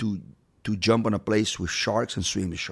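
The speaker has a Portuguese accent and ordinary pitch variation. The recording is very clean, with a silent background. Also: man. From Brazil. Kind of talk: casual interview. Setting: studio.

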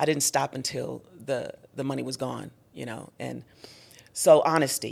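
A woman is speaking. Vocal fry runs through her voice. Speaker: gospel singer and minister. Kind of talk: testimony.

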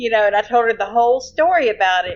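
A woman with a Louisiana accent talks at a fairly quick pace, her pitch swinging very widely. Noticeable background noise runs behind her. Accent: Louisiana Southern US. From Shreveport, Louisiana. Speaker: storyteller of paranormal experiences. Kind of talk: casual storytelling.

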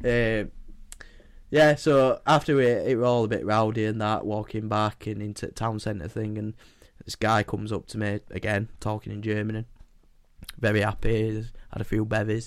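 A man with a Yorkshire accent and a fairly low pitch talks at a moderate pace with long, frequent pauses. His intonation stays fairly even, and the recording is very clean with a silent background. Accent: northern English (Yorkshire). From England. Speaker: podcast co-host. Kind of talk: casual chat.

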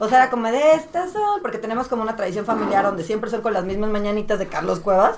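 Speaking at a very fast pace, a woman's fairly high voice shows lively intonation against noticeable background noise. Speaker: podcast guest. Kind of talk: casual chat.

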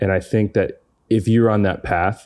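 Moderate pace, fairly even intonation and a slightly mellow tone, on a very clean recording with a silent background. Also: man, fairly low pitch for a man.

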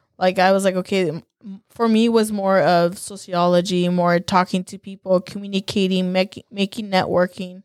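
Speaking at a moderate pace with hardly any pauses, a woman with a medium pitch keeps a monotone, flat intonation while her loudness swings widely, recorded dry and close with no echo against a silent background in a very clean recording. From California, Salinas Valley. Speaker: small business owner. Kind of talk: casual interview.

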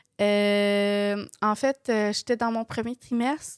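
A woman with a Quebec accent, her pitch fairly high, in a dry, close sound with no echo. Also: very clean recording, silent background. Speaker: podcast co-host. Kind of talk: casual chat.

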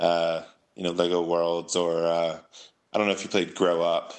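With an American accent, a man speaks at a moderate pace in a fairly low pitch, an ordinary speaking voice. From San Francisco Bay Area, California. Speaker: comic book writer. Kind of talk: casual interview chat.

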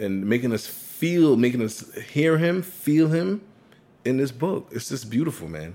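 An animated man at medium pitch, very wide pitch swings and a fairly slow pace, over noticeable background noise. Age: 30s. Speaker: podcast co-host. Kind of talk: casual chat.

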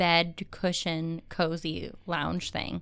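Woman with a Cleveland accent on a very clean recording with a silent background. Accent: Cleveland accent, Midwestern. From Cleveland, Ohio. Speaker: podcast co-host.

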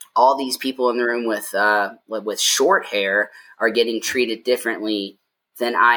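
A man speaks at a fairly slow pace in a medium pitch, with an unremarkable speaking voice. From US South. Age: 30s. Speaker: LGBTQ advocacy group president. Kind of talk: casual chat. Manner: articulate.

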